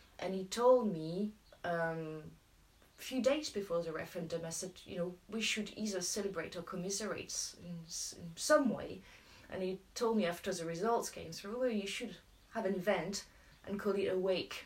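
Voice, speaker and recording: Medium pitch from a woman with a French accent and ordinary pitch variation. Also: moderate pace. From France. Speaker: local campaign group organiser. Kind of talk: casual chat.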